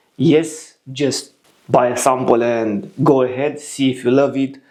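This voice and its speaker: A man talks at a medium pitch in a Romanian accent. His intonation stays fairly even. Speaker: fragrance reviewer. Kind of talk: product review.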